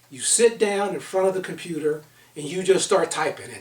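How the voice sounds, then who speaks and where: Over noticeable background noise, a man speaks at a moderate pace in a high voice with lively intonation. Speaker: author and leadership consultant. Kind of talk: online book seminar talk. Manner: loud.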